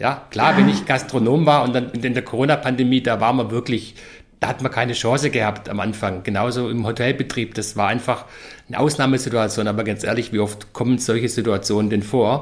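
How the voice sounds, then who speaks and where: At a fairly quick pace, a man speaks at a medium pitch. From Stuttgart, Swabia, Germany. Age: 50s. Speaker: business consultant and professor. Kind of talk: podcast interview. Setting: office in Nuremberg. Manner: energetic.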